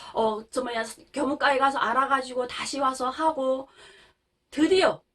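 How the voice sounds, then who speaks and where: In a North Korean accent, a woman speaks at a high pitch. Her pitch varies in an ordinary way. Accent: North Korean intonation, high-pitched. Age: 30s. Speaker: North Korean defector vlogger. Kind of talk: casual storytelling monologue.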